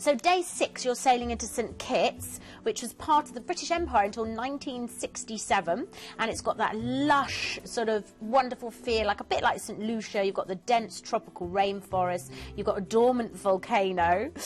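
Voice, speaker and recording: Music plays in the background. A woman speaks at a fairly high pitch with lively intonation. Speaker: cruise travel expert on TV shopping show. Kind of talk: TV travel sales presentation. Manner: fast; animated.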